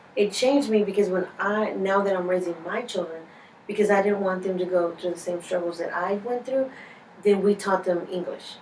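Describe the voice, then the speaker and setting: Noticeable background noise accompanies a voice with a Spanish accent and fairly even intonation. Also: woman, medium pitch for a woman, moderate pace. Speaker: interviewee. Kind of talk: interview. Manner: halting, many fillers.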